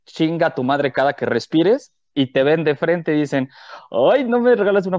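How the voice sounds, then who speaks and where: A man with an ordinary speaking voice and fairly high pitch talks at a moderate pace. The sound is dry and close with no echo, and the background is quiet. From Mexico City. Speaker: podcast co-host, comedian. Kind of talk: casual chat.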